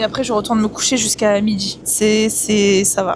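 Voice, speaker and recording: Noticeable background noise sits under a woman talking at a moderate pace in a fairly high pitch. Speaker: vlogger. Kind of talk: casual vlog chat. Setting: on a sailboat at sea.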